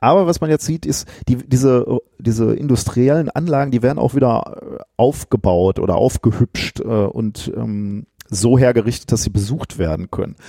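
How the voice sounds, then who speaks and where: A man speaks at a moderate pace with lively intonation. His tone is dark and mellow. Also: medium pitch for a man, dry, close sound with no echo. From Ruhr area, Germany. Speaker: physicist and science podcaster. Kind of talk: casual chat. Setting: office.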